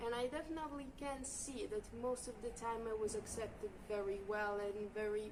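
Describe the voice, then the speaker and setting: Against noticeable background noise, a woman talks at a fairly high pitch. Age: young. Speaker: volunteer. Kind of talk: interview testimony.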